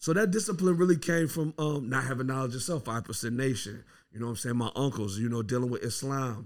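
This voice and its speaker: A man with an American accent speaks at a fairly quick pace and medium pitch in an unremarkable speaking voice. The recording is very clean, with a silent background. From US Midwest and New York. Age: 30s. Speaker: rapper. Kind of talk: casual interview.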